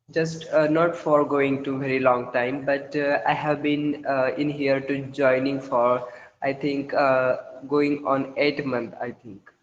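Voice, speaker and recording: A man with a Marathi accent, fairly high in pitch, in a monotone, flat intonation at a fairly slow pace. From India, Maharashtra. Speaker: school chemistry teacher, English learner. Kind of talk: casual conversation practice. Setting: online call. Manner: halting, many fillers.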